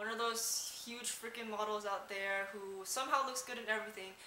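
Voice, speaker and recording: A woman talks at a fairly quick pace with fairly even intonation. Noticeable background noise is present. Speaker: fashion vlogger. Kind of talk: casual talk to camera. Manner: soft-spoken, quiet.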